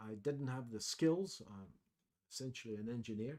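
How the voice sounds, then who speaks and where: The delivery goes at a moderate speed. Pitch rises and falls in an ordinary way. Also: man. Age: 60s. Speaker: trading educator. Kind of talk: webinar presentation. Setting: online webcast. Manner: hesitant, many fillers.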